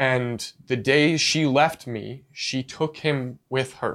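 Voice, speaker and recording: Here is a man with an ordinary speaking voice. His medium pitch carries fairly even intonation. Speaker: podcast co-host. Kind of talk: casual chat.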